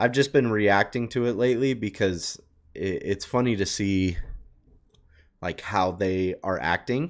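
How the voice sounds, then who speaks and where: Animated in tone, a man with a fairly low pitch speaks at a fairly slow pace with ordinary pitch variation against a quiet background. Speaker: reaction YouTuber. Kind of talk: casual reaction commentary. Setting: streamer talking to chat. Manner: casual, animated. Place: home room. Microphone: headset.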